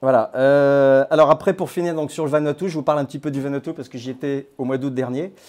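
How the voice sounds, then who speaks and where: Very fast delivery with hardly any pauses, big swings in loudness, fairly even intonation and a quiet background. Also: man, fairly high pitch for a man. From France (born in Grenoble); France. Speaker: crypto platform founder. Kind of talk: talk to a small audience. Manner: hesitant, many fillers. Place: hall. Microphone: lapel.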